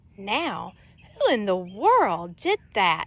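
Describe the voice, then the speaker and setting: A woman puts on a character voice, pitched at a medium level. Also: dry, close sound with no echo. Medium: read story.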